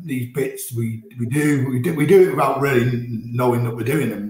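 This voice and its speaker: Audible room echo colors this recording. The man's voice is somewhat breathy. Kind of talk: interview answer. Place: office.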